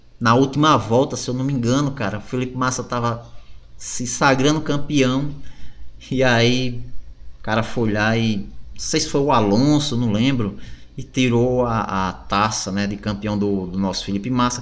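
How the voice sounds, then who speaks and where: The speaker talks at a moderate pace with ordinary pitch variation, and audible room echo surrounds the voice. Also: man, medium pitch for a man. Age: 40s. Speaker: gaming YouTuber. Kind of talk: casual video commentary.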